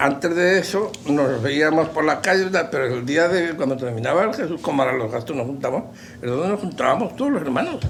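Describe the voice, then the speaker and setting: There is noticeable background noise and audible room echo. Through it, a man speaks with a fairly high pitch and lively intonation. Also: fairly quick pace. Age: 70s. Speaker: veteran brotherhood member. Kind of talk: interview.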